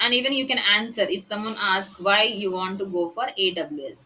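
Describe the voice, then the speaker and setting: A woman with an ordinary speaking voice talks at medium pitch. Her pace is moderate, with ordinary pitch variation. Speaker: tech trainer. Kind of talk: lecture.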